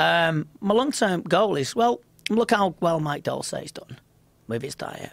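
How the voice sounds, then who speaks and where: A man with a Liverpool accent speaks at a high pitch, swinging very widely up and down. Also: fairly slow pace, big swings in loudness. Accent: Liverpool (Scouse) English. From Liverpool, England. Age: 40s. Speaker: mind coach and kickboxing commentator. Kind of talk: casual interview chat. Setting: studio.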